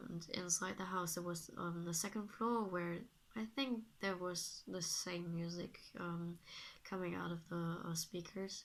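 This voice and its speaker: At a medium pitch and a fairly slow pace, a woman talks with fairly even intonation. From Germany. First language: German. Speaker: vlogger. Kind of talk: casual vlog monologue. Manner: halting, many fillers.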